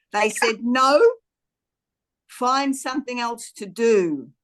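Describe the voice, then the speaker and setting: A woman is speaking here. Her accent is Australian. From Australia, Queensland. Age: 70s. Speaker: podcast guest. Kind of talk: casual interview chat.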